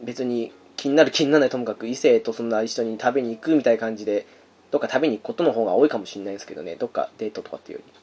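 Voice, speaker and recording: This man speaks. His pace is very fast. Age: 30s. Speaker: podcast host. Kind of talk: casual chat.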